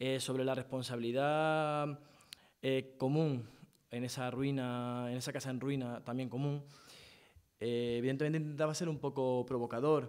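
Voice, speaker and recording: With audible room echo, a man speaks at a medium pitch in a monotone, flat intonation. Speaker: panel speaker at public talk. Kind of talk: panel discussion reply. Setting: theatre stage with audience. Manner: fast.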